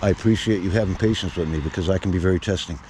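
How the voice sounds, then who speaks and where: Over noticeable background noise, a man with an American accent speaks very fast at a very deep, low pitch with fairly even intonation. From Massachusetts (Chelsea, Boston area). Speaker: local activist filming officials. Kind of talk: heated confrontation. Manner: loud.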